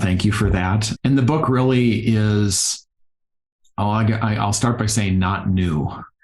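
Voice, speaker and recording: Speaking in a Minnesotan accent, a man uses a fairly low pitch with ordinary pitch variation, very even loudness and a fairly slow pace. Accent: Minnesota. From Iowa, US Midwest (rural). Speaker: physical therapist and yoga therapist. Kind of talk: podcast interview.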